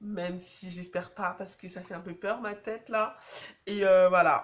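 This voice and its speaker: The speech moves at a fairly slow pace with monotone, flat intonation. Loudness rises and falls sharply. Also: woman, medium pitch for a woman. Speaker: dance vlogger. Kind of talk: casual vlog advice. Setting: on public transport, in a tunnel. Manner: casual, hesitant with many fillers.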